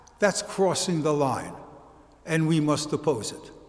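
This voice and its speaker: A man with a Brooklyn accent speaks at a fairly slow pace. Audible room echo surrounds his voice. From US Northeast, Brooklyn, New York. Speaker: college history professor. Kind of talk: lecture.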